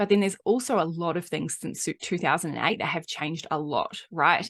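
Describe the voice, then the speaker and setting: A woman with a slight New Zealand accent talks at a fairly quick pace and fairly low pitch. Her pitch variation is ordinary, and the background is quiet. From New Zealand, Auckland. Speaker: marketing coach and podcaster. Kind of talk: podcast monologue. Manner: animated.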